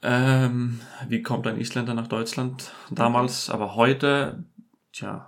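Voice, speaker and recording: The speaker has an Icelandic accent and talks very slowly in a monotone, flat way. Audible room echo is present. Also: man, medium pitch for a man. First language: Icelandic (speaking German). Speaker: furniture fitter. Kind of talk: casual chat.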